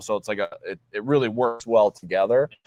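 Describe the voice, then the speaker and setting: In a dry, close sound with no echo and a quiet background, a man with a plain, everyday voice talks at medium pitch and a fairly quick pace. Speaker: car shop owner. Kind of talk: casual chat.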